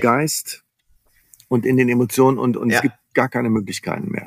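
At a moderate pace, a man talks at a medium pitch in a dry, close sound with no echo. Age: 50s. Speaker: business coach. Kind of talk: interview.

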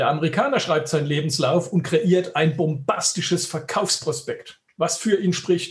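A man with a high pitch talks at a moderate pace with hardly any pauses, very even loudness and ordinary pitch variation. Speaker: headhunter, recruitment firm owner. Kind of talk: interview. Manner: emphatic, pointed.

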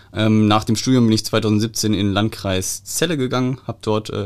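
A man talks at a moderate pace in a plain, everyday voice. His pitch is fairly low and his intonation fairly even. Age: 30s. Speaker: police press officer. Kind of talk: casual chat.

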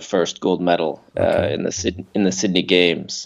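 Speaking at a moderate pace in a Canadian accent, a man has a very deep, low pitch and a monotone, flat delivery. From Canada. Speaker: triathlon coach. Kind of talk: interview.

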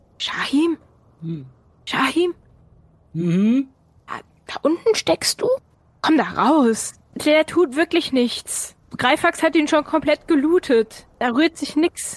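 A high-pitched, put-on character voice goes at a fairly slow pace. Long pauses come often. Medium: actual play. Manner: coaxing, reassuring, amused.

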